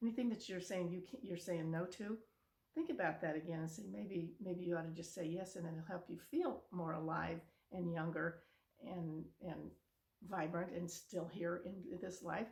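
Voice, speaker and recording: With some breathiness, the speech keeps a moderate speed and an ordinary amount of pitch movement. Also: woman, fairly low pitch for a woman. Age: 70s. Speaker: video blogger. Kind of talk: motivational talk. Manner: casual.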